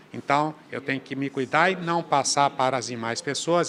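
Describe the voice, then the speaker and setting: A man's voice, fairly high in pitch with a bright, sharp tone, at a moderate pace. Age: 60s. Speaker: state legislator. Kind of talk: interview.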